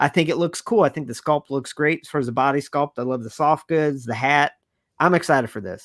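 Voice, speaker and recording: The speaker has an animated tone and a fairly quick pace, with ordinary pitch variation and a dry, close sound with no echo. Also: man, fairly high pitch for a man. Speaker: action figure reviewer, YouTuber. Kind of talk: casual chat reviewing figure reveals. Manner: fast.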